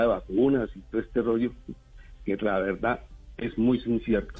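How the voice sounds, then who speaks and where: Music plays in the background. The speech keeps a monotone, flat intonation at a moderate pace. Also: man. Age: 60s. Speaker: neuropsychologist. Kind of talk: radio interview. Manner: halting, many fillers and repetitions.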